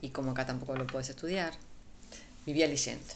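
Over noticeable background noise and audible room echo, a woman with a Uruguayan accent speaks with fairly even intonation. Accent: Rioplatense Spanish (Uruguayan). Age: 50s. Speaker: physician. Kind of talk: interview conversation. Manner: halting.

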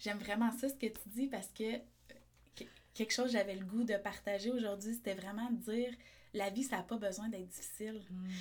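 Moderate-paced, somewhat breathy speech from a woman, fairly high in pitch. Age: 30s. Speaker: entrepreneur and osteopath. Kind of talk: casual interview.

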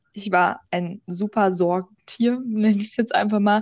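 A woman talks at a medium tempo. Hers is an unremarkable speaking voice, pitched in the middle range. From Berlin, Germany. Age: young. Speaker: podcast host. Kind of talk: casual chat. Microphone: microphone problems.

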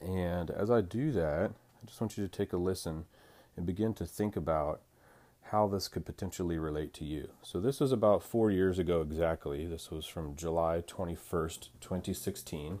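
A man's very deep, low, dark, mellow voice with ordinary pitch variation at a moderate pace, on a very clean recording with a silent background. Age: 40s. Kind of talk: devotional monologue. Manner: halting, many fillers.

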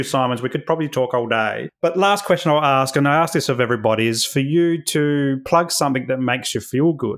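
In an Australian accent, a man speaks at a fairly high pitch. His pitch varies in an ordinary way. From South Australia. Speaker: podcast host. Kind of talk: podcast interview.

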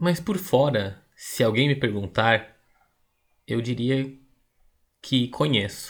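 Very slowly and with long, frequent pauses, a man speaks at a medium pitch with lively intonation. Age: 30s. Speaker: podcast host. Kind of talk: scripted narration.

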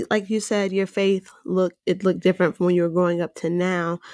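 On a very clean recording with a silent background and a dry, close sound with no echo, a woman speaks at a moderate pace in a plain, everyday voice with a fairly low pitch. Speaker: podcast co-host. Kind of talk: casual interview.

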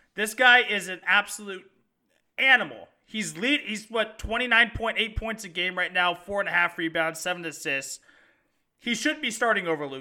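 Raised and projected, a man's bright, sharp voice rings high with lively intonation, broken by long, frequent pauses. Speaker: sports podcast co-host. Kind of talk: sports talk show chat. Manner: animated, passionate, rapid.

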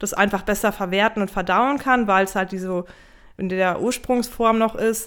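Woman at a medium pitch and moderate pace with fairly even intonation, a plain, everyday voice, on a very clean recording with a silent background. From northern Germany (Emsland). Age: 30s. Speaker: equine nutrition consultant. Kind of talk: podcast interview.

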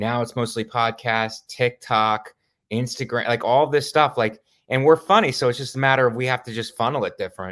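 On a very clean recording with a silent background, a man in an ordinary speaking voice talks fairly quickly at a medium pitch with fairly even intonation. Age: 40s. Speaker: stand-up comedian. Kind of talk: casual chat.

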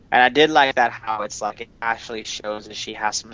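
This man speaks at a moderate pace with a medium pitch. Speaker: podcast co-host. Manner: monotone.

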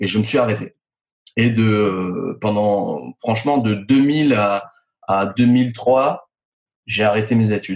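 A man at medium pitch talks at a very slow pace with long, frequent pauses, very even loudness, and ordinary pitch variation. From France, Nice. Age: 40s. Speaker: user experience consultant. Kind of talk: interview.

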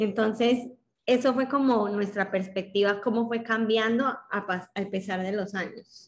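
In an unremarkable speaking voice, the words come at a fairly slow pace with fairly even intonation. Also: woman, fairly high pitch for a woman. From Colombia. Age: 20s. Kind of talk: interview conversation.

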